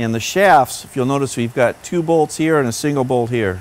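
The delivery has a moderate pace and ordinary pitch variation. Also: man. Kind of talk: tutorial. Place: workshop.

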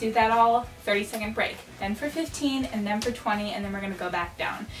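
A woman talks with ordinary pitch variation, and the room echo is audible. Faint music plays in the background. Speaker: fitness vlogger. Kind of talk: casual vlog chat explaining a workout. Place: home room. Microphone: camera far.

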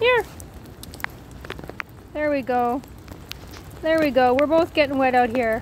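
A woman talks at a fairly slow pace, with a dry sound with no echo and light background noise. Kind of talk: casual talk to an animal. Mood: playful, affectionate. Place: rain. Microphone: phone near.

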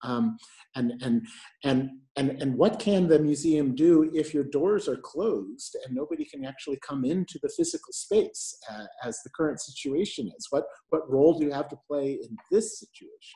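Against a quiet background, a man talks at a moderate pace in a dark, mellow, somewhat breathy tone, with lively intonation and big swings in loudness. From New York. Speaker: moderator, arts and health lead at a health agency; moderator. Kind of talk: moderated panel discussion. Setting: video call from home. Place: home room. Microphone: earbuds.

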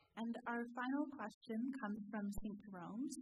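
There is noticeable background noise but no echo as a woman with a fairly high, somewhat breathy voice speaks with ordinary pitch variation. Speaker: Q&A moderator. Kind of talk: reading audience questions. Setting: stage with audience. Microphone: podium.

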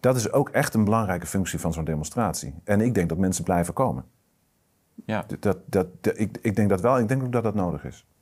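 Over a quiet background, a normal speaking voice moves at a fairly quick pace. The intonation is lively. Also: man, fairly low pitch for a man. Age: 40s. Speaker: strategic adviser, political movement board member; guest. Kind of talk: political discussion interview. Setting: studio, at a table. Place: studio. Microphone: lapel.

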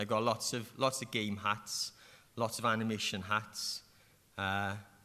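This man has a strong Welsh accent, a bright, sharp tone and a fairly low pitch. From South Wales Valleys, Merthyr Tydfil; South Wales. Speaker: animator and game developer; panelist. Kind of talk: panel discussion. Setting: stage with audience. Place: hall. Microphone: podium.

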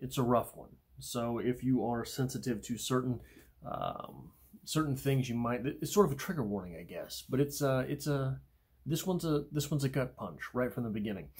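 Over a quiet background, a man talks at a moderate pace with ordinary pitch variation and a somewhat breathy sound. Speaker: poetry channel host. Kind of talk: poetry discussion and reading. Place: home room. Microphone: phone near.

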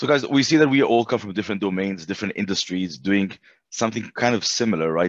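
With a quiet background and a dry sound with no echo, a man uses an ordinary speaking voice at a fairly low pitch, with ordinary pitch variation. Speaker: panel moderator. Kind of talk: panel discussion. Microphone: headset.

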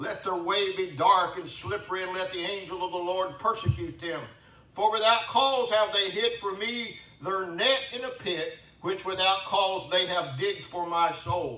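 In a raised, projected voice, a high-pitched man speaks at a moderate pace with ordinary pitch variation and audible room echo. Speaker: pastor. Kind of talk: sermon. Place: church. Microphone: camera far.

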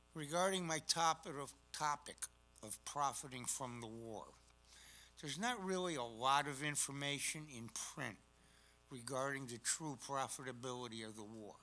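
Speaking at a moderate pace with an American accent, a man shows ordinary pitch variation and big swings in loudness. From Connecticut, Hartford. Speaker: collector presenting a talk. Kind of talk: presentation. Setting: stage with audience. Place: hall.

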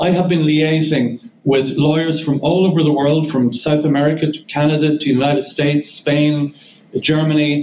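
A man with an Irish accent speaks at a moderate pace in a fairly high voice, his intonation flat and monotone. Room echo is audible, and light noise sits in the background. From Ireland. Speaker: barrister, legal advisor. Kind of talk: press conference statement. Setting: press conference. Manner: formal. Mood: serious, earnest. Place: meeting room.

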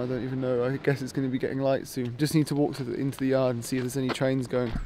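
A man speaks in a dry sound with no echo. Light background noise sits behind him. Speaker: travel vlogger. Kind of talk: casual vlog chat. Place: station. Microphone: phone near.

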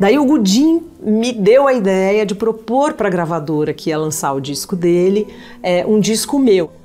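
Faint music plays behind a woman who speaks at a fairly slow pace with very wide pitch swings. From São Paulo. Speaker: singer. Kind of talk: interview answer. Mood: warm, reflective. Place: home room. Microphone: lapel.

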